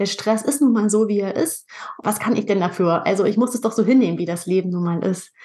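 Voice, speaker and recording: A woman with a normal speaking voice, medium pitch, ordinary pitch variation and a fairly quick pace. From northern Germany, Pinneberg near Hamburg. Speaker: nutrition and skin health coach, podcaster. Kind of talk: interview.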